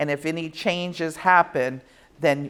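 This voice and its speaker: A woman speaks at a very deep, low pitch for a woman. Her intonation is monotone and flat. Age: 60s. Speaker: wine compliance consultant. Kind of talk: seminar lecture. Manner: conversational.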